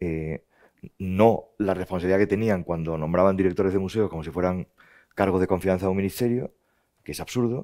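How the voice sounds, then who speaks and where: A man speaks at a fairly quick pace in a very deep, low pitch with a dark, mellow tone. His intonation is fairly even, and the background is quiet. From Spain, Andalusia (Jerez); Andalusia, Spain. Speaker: museum director; interviewee. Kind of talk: interview conversation. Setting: stage with audience. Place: hall. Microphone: headset.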